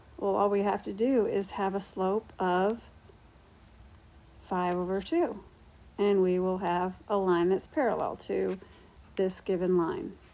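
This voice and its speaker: A woman speaks in a dark, mellow tone at a fairly slow pace, with long, frequent pauses. Her intonation is fairly even, and her loudness stays very even. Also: medium pitch for a woman. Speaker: math teacher. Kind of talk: lecture.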